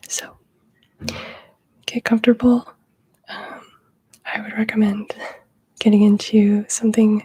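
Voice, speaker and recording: A soft-spoken woman whispers in a relaxed tone. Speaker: ASMR presenter for student wellness. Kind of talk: ASMR mindfulness session. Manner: whispering, soft-spoken; slow, relaxed.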